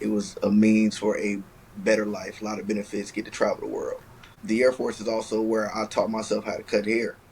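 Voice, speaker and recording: A man at a fairly quick pace, with noticeable background noise. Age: 20s. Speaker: barber and Air Force veteran. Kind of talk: podcast interview. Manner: stutter.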